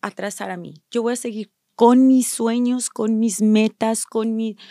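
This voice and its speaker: A woman at a fairly high pitch with a dark, mellow tone, fairly slow in pace, with big swings in loudness, in a very clean recording with a silent background and a dry, close sound with no echo. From Mexico (Durango). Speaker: staffing agency owner. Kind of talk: interview.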